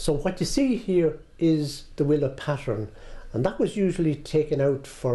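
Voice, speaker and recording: Speaking in an Irish rural midlands accent, a man at a fairly high pitch sounds somewhat breathy, with a dark, mellow tone and a moderate pace. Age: 60s. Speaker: heritage centre owner. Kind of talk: guided tour interview.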